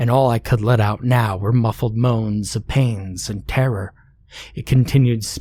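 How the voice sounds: The voice here is a natural reading voice.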